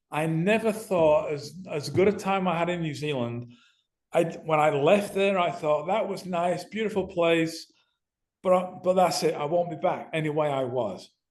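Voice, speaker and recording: Speaking with a Manchester accent, a man uses a high pitch with ordinary variation at a moderate pace, with audible room echo. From northern England (Manchester). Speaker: ex-professional footballer and podcast guest. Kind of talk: casual interview.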